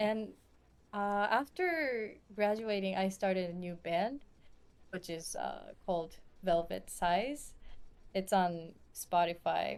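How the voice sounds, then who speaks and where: A woman's medium-pitched voice with a non-native accent, a very slow pace and ordinary pitch variation. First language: not English. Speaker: music artist. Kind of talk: interview. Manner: halting.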